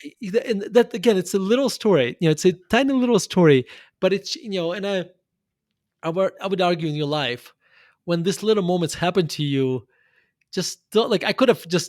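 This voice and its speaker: In a very clean recording with a silent background, a man with a high pitch speaks at a fairly quick pace with lively intonation. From Russia. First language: Russian. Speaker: investor and author. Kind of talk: interview conversation.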